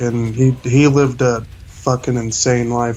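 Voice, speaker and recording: A man with an American accent speaks very slowly in a flat monotone at medium pitch. Noticeable background noise is present. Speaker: interviewee sharing drug experiences. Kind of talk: interview testimony. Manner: hesitant with fillers.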